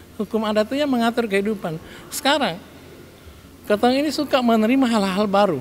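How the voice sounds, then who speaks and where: A man talks at a very fast pace, in a high pitch, with long, frequent pauses. Noticeable background noise runs underneath. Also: ordinary pitch variation. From Kei Islands, Maluku. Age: 60s. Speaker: regent (local government head). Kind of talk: interview remarks. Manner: halting with fillers.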